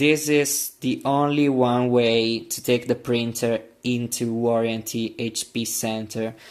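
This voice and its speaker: Talking at a very slow pace with hardly any pauses, a man keeps a medium pitch and a monotone, flat intonation. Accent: Italian. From Italy. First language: Italian. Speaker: printer repair youtuber. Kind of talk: tutorial. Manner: halting, with many fillers.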